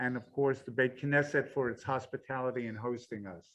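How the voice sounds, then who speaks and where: A man's voice sits at a medium pitch and shows ordinary pitch variation. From New York. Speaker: organization chairman, speaker. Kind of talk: public talk. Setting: synagogue hall with audience. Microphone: first without mic, then with mic.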